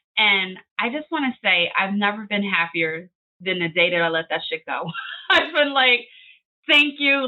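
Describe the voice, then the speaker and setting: A loud woman with a fairly high pitch, very wide pitch swings, an American accent and a moderate pace. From Philadelphia, US. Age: 40s. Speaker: podcast copywriter. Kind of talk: podcast interview. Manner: high energy.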